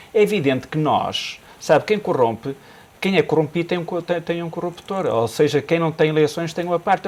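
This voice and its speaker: With a Minho accent, a man speaks at a moderate pace. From northern Portugal (Minho). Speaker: business commentator. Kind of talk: TV panel discussion. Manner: hesitant, repetitive.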